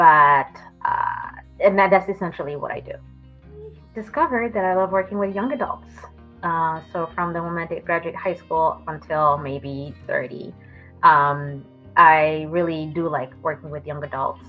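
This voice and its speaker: A woman with a French accent, fairly low in pitch and fairly slow in pace, with big swings in loudness, long, frequent pauses and music in the background. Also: ordinary pitch variation. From France and Miami. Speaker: therapist. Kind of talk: interview answers. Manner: hesitant with many fillers.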